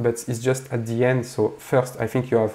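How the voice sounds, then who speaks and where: Medium in pitch, a man speaks with a dark, mellow tone. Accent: French. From France. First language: French. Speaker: composer and pianist. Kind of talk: tutorial. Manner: halting, many fillers.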